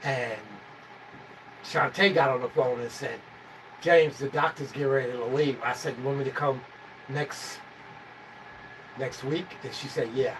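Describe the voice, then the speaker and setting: A man's fairly high voice at a moderate pace, with fairly even intonation, long, frequent pauses and noticeable background noise. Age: 60s. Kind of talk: casual chat.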